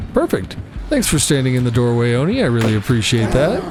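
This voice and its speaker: A man at a medium pitch is heard amid noticeable background noise and audible room echo. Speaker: gaming youtuber. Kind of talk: gameplay commentary. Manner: casual, conversational; occasional stutter.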